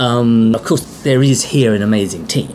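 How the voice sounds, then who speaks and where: Moderate pace in an English accent, with noticeable background noise. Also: man. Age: 50s. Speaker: theatre artistic director. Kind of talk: interview. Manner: halting.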